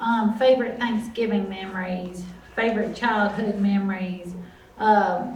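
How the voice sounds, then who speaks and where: A woman talks at a fairly high pitch with fairly even intonation. Room echo is audible, and background noise is noticeable. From US South, Alabama (Mobile County). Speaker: author and storyteller. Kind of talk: talk to a group. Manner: slow.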